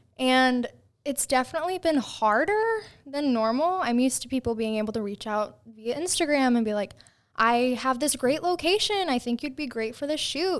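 A woman with a high pitch and lively intonation. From Indiana, moved to Tennessee at ten. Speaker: fashion model. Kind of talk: casual chat. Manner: slow.

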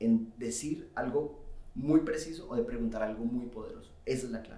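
This is a man talking with lively intonation. Vocal fry runs through his voice. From Colombia. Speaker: sales expert. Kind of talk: casual interview chat.

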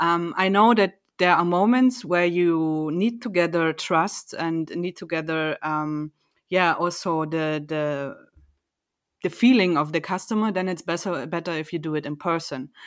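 Speaking fairly slowly with a German accent, a woman uses a fairly low pitch and ordinary pitch variation. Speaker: company podcast co-host. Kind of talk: casual chat.

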